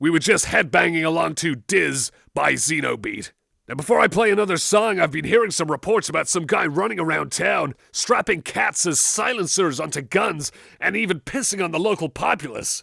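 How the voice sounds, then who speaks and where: In a gruff, put-on character voice, the speaker moves at a moderate pace with lively intonation. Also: man, high pitch for a man. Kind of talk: in-game radio DJ dialogue. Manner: outgoing, upbeat.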